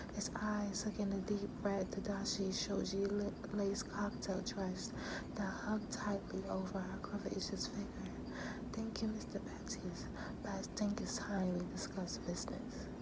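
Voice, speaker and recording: Whispering over noticeable background noise. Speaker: author reading own book. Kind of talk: ASMR whispered book reading. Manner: whispered.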